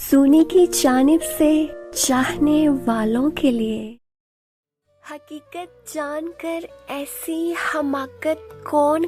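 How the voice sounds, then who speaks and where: A woman talks at a high pitch while music plays behind her. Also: ordinary pitch variation. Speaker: poetry reciter. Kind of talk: poetry reading.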